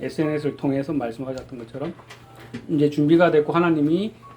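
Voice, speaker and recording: Over background music, a man speaks very fast in a fairly high pitch with fairly even intonation. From Busan, Korea. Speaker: sign language praise performer, church deacon. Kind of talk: testimony.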